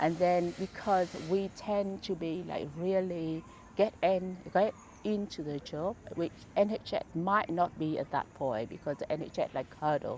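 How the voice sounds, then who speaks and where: A woman with a Vietnamese accent talks at a fairly slow pace. Her pitch is fairly low, with ordinary pitch variation. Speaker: charity founder. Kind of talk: interview. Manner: halting, many fillers.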